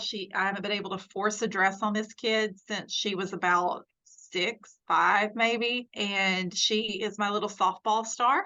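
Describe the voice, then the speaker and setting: A woman with a Southern US accent talks at a fairly slow pace. Her voice is medium in pitch with fairly even intonation. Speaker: nurse. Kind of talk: casual chat. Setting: podcast interview.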